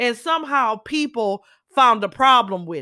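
In an American accent, the speaker uses a raised, projected voice with an animated, bright, sharp tone and very wide pitch swings. The recording is very clean and dry, close with no echo, over a silent background. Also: woman. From Southern California, Los Angeles. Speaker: podcaster. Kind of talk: monologue commentary.

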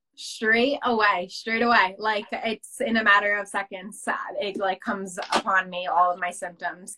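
A woman with an American accent speaks at a moderate pace with hardly any pauses. Her medium-pitched voice has a bright, sharp tone and fairly even intonation. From New Jersey, US. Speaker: mental health advocate, social media creator. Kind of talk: interview. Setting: video call.

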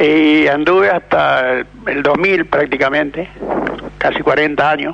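Against noticeable background noise, a man talks at a very slow pace in a fairly high pitch, with ordinary pitch variation and very even loudness. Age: old. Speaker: retired truck driver. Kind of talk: radio call-in. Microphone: too quiet.

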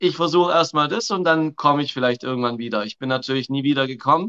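A man with a Swabian accent, fairly high pitched, with ordinary pitch variation, a bright, sharp tone, and a dry, close sound without echo against a quiet background. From Swabia, southern Germany. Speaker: coach. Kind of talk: casual chat. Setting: live video call.

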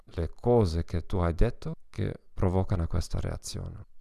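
A man's fairly low, dark and mellow voice with a German accent and ordinary pitch variation, on a very clean recording with a silent background. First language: German (speaking Italian). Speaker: psychologist and language teacher. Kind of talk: solo podcast talk. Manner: halting.

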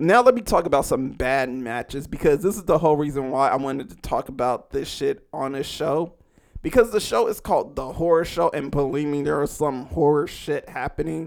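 A man's unremarkable speaking voice with an American accent, fairly high pitch, ordinary pitch variation, and a fairly quick pace. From California. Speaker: horror podcaster. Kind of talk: casual solo podcast monologue. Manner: casual, slangy, jokey.

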